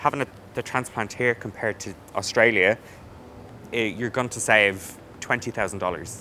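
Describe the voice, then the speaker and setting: A man with an Irish accent, bright, sharp tone, fairly quick pace, fairly even intonation and long, frequent pauses. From Ireland. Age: 20s. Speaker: hairdresser, salon owner. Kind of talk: testimonial interview answer.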